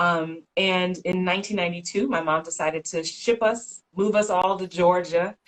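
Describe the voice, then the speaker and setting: A woman with a normal speaking voice, medium pitch, moderate pace and ordinary pitch variation. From New York, the Bronx. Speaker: actress and career coach. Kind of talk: interview. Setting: Instagram live video.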